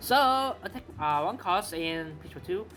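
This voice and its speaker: A man speaks with a Malaysian accent. His pitch is high, with very wide pitch swings. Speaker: card game content creator. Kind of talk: tutorial. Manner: fast; halting, with fillers and repeats.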